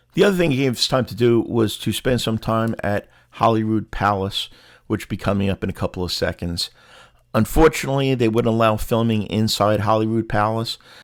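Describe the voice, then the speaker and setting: On a very clean recording with a silent background, a man with a New York accent talks at a fairly quick pace and medium pitch. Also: ordinary pitch variation. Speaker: travel vlogger. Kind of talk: travel vlog narration. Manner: casual, many fillers.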